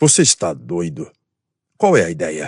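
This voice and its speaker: Raspy, put-on character voice from a man, very deep and low in pitch, at a moderate pace, with a dry, close sound and no echo. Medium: read story. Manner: doubtful, low-voiced.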